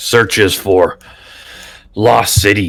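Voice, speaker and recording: A man performs a put-on character voice. His pitch sits fairly low. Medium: actual play. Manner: broken simple English, dropped articles; slow, blunt.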